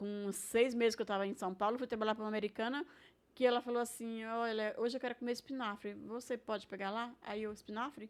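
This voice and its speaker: A woman talks at a fairly quick pace with a fairly high pitch. She has a plain, everyday voice. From Brazil, Maranhão (São Luís). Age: 60s. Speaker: retired cook. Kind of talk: casual interview.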